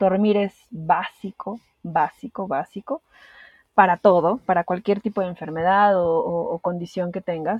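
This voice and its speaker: Fairly slow and fairly even in intonation, a woman speaks. Her voice is somewhat breathy. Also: medium pitch for a woman. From Peru. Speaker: podcast guest sharing anxiety experience. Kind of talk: interview, personal testimony.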